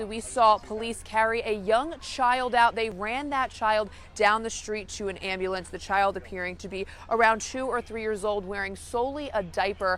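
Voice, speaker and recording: A woman speaks with an American accent at a moderate pace, in a plain, everyday voice. Her pitch is fairly high, with ordinary variation. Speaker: local news reporter and anchor. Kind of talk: TV news package narration.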